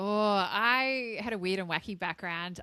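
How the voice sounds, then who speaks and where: On a very clean recording with a silent background, a voice with an Australian accent and a bright, sharp tone moves at a moderate pace with ordinary pitch variation. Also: woman. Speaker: marketing and strategy executive. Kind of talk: podcast interview.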